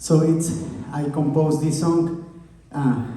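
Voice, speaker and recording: A man in an Andean accent at a very slow pace, with audible room echo and noticeable background noise. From Bolivia, Oruro. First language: Quechua. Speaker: musician. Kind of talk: stage banter between songs. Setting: stage with audience. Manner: halting.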